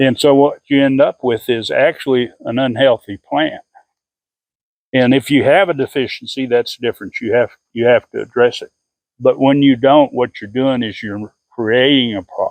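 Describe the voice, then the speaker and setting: The man has a normal speaking voice at a medium pitch, with fairly even intonation and a moderate pace. The sound is dry and close with no echo. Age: 60s. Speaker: gardener and farmer. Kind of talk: tutorial. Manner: casual, with frequent fillers and repetitions.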